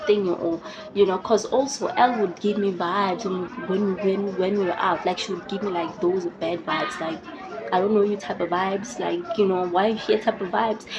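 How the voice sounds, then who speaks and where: Over crowd noise and audible room echo, a woman talks fairly quickly at a medium pitch, her tone animated and her pitch varying in an ordinary way. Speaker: YouTuber. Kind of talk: casual storytelling vlog.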